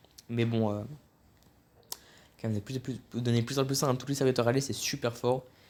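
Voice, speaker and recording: Speaking at a fairly quick pace but with long, frequent pauses, a man keeps a medium pitch and a monotone, flat intonation. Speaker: card game reviewer. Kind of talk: casual commentary. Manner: fast; halting.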